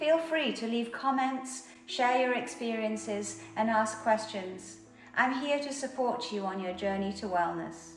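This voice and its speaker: Music plays behind a woman's voice. She talks at a fairly slow pace with ordinary pitch variation. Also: fairly high pitch for a woman, hardly any pauses. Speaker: meditation guide and yoga teacher. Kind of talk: channel trailer talk to camera. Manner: soft-spoken, slow.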